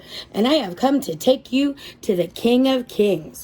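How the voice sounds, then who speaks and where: In a put-on character voice, a woman speaks at a high pitch with lively intonation. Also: moderate pace. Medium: read story. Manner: earnest.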